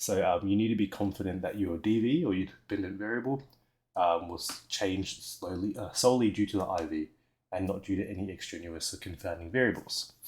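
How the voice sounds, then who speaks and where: A man talks at a fairly quick pace with an Australian accent. His voice sits fairly low in pitch and shows ordinary pitch variation. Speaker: teacher. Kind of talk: recorded lesson explanation. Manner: hesitant, with fillers and stumbles.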